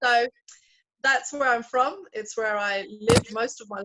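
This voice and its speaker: A woman with a London accent speaks at a fairly slow pace. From London, England. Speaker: pastor. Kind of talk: interview.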